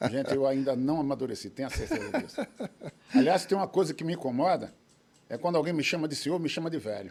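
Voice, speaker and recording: A man speaks very fast with lively intonation. His pitch sits fairly high. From Recife, Pernambuco, Brazil. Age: 70s. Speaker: judo master and referee. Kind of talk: interview. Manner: hesitant, repeated fillers.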